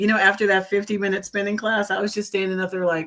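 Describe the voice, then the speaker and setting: A woman's bright, sharp voice with an American accent and fairly even intonation. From US South, New Orleans and Atlanta. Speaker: comedian and actress. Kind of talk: casual chat. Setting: live stream.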